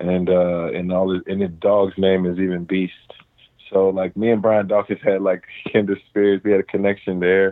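A man speaks with an American accent at a moderate pace. His very deep, low pitch stays in a monotone, flat intonation. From US Midwest, Cincinnati, Ohio. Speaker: professional football player. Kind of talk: casual interview. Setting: phone call.

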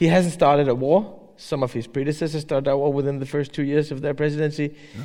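A man with a Danish accent talks at a very fast pace with hardly any pauses. His pitch is fairly high and his intonation fairly even. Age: 40s. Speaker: newspaper editor. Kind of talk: public interview on stage. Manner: halting.

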